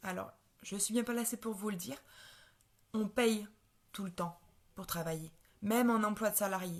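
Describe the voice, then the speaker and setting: Moderately paced, somewhat breathy speech from a woman. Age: 20s. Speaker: network marketing seller. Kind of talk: sales pitch. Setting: live stream. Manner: halting, many fillers and repetitions.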